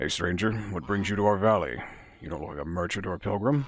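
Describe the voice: A gravelly, put-on character voice from a man, fairly low in pitch, rattles along at a very fast pace with lively intonation and big swings in loudness.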